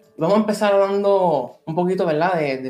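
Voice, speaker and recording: Someone with a Puerto Rican accent talks at a fairly quick pace with ordinary pitch variation. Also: man. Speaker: podcast host. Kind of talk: interview. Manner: halting.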